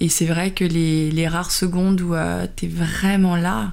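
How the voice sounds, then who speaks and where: A woman speaks very slowly, and the room echo is audible. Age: 40s. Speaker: color designer and video blogger. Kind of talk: casual chat. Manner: hesitant, many fillers.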